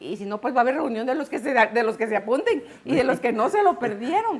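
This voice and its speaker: A woman talks at a fairly quick pace with a fairly high pitch. Noticeable background noise is present. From Guatemala. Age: 60s. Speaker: broadcaster giving faith testimony. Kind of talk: testimony.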